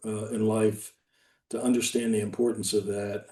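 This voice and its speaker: In an American accent, a man speaks at a moderate pace with a dark, mellow tone. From US Army bases (Fort Benning, Georgia). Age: 60s. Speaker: retired army general. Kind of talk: interview. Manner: hesitant, many fillers.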